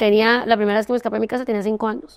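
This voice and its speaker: A woman is speaking. She has a Santander Colombian accent. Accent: Santander Colombian, clipped. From Colombia, Santander. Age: 30s. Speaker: entrepreneur. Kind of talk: interview testimony. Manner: fast.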